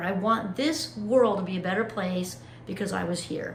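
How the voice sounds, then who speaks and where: Animated in tone and lively in intonation, a woman speaks at a medium pitch with audible room echo and noticeable background noise. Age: 50s. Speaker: motivational YouTuber. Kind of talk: casual vlog monologue.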